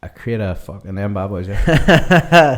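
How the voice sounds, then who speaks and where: Fairly slow speech from a man at a medium pitch. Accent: Northern Irish. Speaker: drummer, podcast host. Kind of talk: casual podcast talk.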